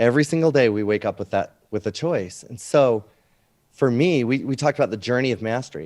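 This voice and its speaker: A man's medium-pitched, animated voice at a fairly quick pace, with lively intonation, in a very clean recording with a silent background. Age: 40s. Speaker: business coach. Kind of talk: casual chat.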